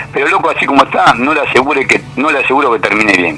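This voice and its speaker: A man with a fairly high voice speaks at a very fast pace with ordinary pitch variation. Noticeable background noise runs underneath. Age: 70s. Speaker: economist, university professor. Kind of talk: radio interview.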